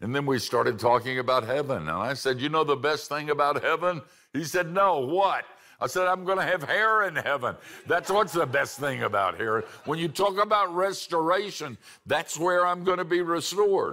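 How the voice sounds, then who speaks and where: A man speaks at a moderate pace in a bright, sharp, animated tone with lively intonation against a quiet background. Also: fairly high pitch for a man. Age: old. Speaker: preacher. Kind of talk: sermon. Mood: warm, humorous, personal. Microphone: lapel.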